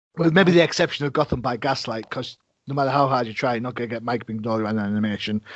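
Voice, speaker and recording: A man talks at a very fast pace in a British accent. His pitch is medium, with ordinary variation. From Britain. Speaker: podcast host. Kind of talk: interview conversation.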